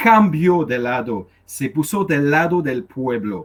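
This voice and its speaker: Lively intonation at a very slow pace, with a non-native accent. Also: man. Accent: foreign accent in Spanish. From Canada. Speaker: activist. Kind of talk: question to a speaker at a public meeting. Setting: in-person meeting. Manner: halting, many hesitations.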